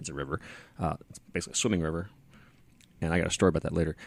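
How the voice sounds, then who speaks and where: A man's very deep, low voice with vocal fry and an American accent, on a very clean recording with a silent background. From Texas. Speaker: podcast host. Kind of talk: casual chat. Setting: on location at a brewery.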